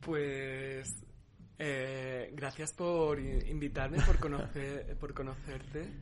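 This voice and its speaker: In a room with audible echo, a man speaks at a very slow pace, his fairly high voice flat and monotone. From Spain, Cáceres (Extremadura). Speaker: documentary participant. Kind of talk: interview. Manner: halting.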